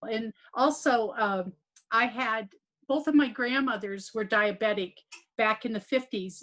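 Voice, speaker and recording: A woman with an ordinary speaking voice talks at a moderate pace and a fairly high pitch, with ordinary pitch variation. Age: 60s. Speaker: program participant. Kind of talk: testimony.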